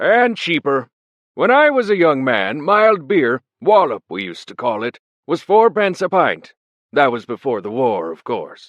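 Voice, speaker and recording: A man's put-on character voice, fairly high in pitch, with very wide pitch swings. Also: moderate pace. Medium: read story. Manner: grumbling, pugnacious.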